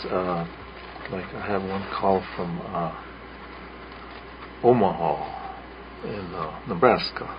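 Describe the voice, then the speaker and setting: A man's very deep, low voice with a Lakota accent and fairly even intonation, amid audible room echo and noticeable background noise. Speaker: radio host. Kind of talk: radio storytelling show. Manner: halting, many fillers.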